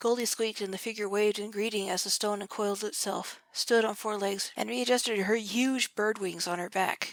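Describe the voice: Straightforward reading aloud, intonation fairly even.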